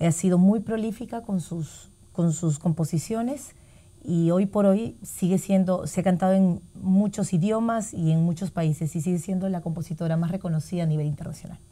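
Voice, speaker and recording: Speaking at a very fast pace, the woman has a fairly low pitch, ordinary pitch variation, a dark, mellow tone and a somewhat breathy sound. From Peru. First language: Spanish. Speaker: singer. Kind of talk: interview in Spanish.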